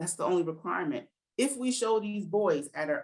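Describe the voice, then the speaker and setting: A woman with a New Jersey accent speaks in an animated tone at a moderate pace, her pitch swinging very widely. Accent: New Jersey American. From New Jersey, US. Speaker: educator and literacy program founder. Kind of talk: interview conversation.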